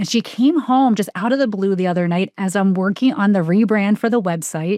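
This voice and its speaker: Over a quiet background, a woman with a slight New Jersey accent talks with ordinary pitch variation. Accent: slight New Jersey, shows on some words. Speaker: life coach and author. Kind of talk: casual interview chat.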